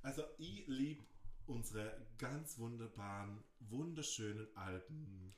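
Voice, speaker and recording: A man speaks at a very slow pace in a medium pitch with ordinary pitch variation. Audible room echo surrounds his voice. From Austria (Innsbruck, Tyrol), moved from Croatia at seven. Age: 20s. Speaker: podcast co-host, linguistics student. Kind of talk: casual chat. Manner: animated.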